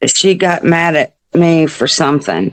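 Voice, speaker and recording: A woman with an Arkansas accent, fairly low-pitched, with ordinary pitch variation. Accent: Southern US (Arkansas). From US South. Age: 60s. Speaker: mother of a person with addiction. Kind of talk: interview testimony.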